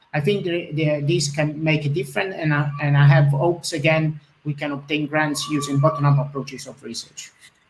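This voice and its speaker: Delivered with an Italian accent, the speech moves at a fairly quick pace with hardly any pauses. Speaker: webinar host. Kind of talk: webinar Q&A. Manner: halting, many fillers.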